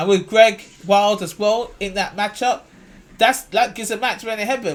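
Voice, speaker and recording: A man speaks with a high pitch. His tone is animated. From London, England. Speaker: basketball commentator YouTuber. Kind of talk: casual video commentary.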